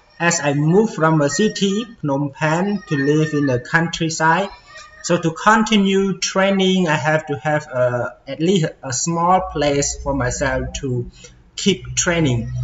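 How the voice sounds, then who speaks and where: With faint background music, a man delivers his words at a fairly slow speed. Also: ordinary pitch variation. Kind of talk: casual tour narration. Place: gym. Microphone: phone near.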